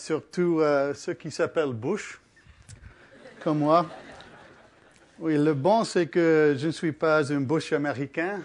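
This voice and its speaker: With an English accent, a man speaks at a very slow pace with long, frequent pauses. His pitch is fairly high, with ordinary variation. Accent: English-speaking accent in French. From Canada. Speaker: physicist giving public lecture. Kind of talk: public lecture. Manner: halting.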